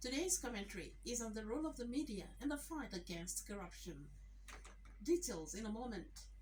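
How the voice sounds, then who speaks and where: A woman speaks with noticeable background noise around her. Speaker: radio newsreader. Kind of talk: radio news bulletin. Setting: radio studio.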